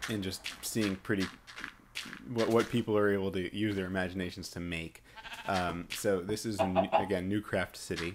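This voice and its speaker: This man speaks with an American accent at a moderate pace, his fairly low voice keeping a fairly even intonation over noticeable background noise. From New York. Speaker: video game commentator. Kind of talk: gameplay walkthrough commentary. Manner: halting, many fillers.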